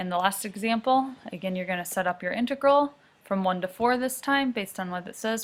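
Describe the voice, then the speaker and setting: On a very clean recording with a silent background, a woman speaks in an ordinary speaking voice at a fairly quick pace with ordinary pitch variation. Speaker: math teacher. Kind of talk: recorded lecture.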